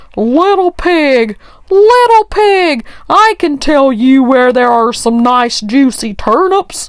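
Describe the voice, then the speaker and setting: Using a put-on character voice, a woman speaks very slowly at a high pitch. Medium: read story. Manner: sly, growling.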